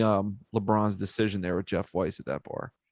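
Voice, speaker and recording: With a Philadelphia accent, a man speaks at a fairly low pitch. The sound is dry and close with no echo, over a quiet background. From US, Philadelphia. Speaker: podcast host. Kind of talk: casual chat.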